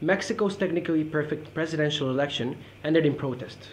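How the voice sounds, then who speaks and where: The speech moves at a moderate pace with ordinary pitch variation. Light background noise sits underneath. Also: man. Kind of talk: academic presentation. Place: meeting room. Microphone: camera far.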